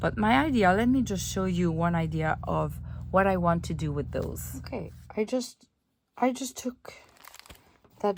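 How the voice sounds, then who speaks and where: With a French accent, a woman speaks with ordinary pitch variation and long, frequent pauses. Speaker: junk journal crafter. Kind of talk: craft tutorial.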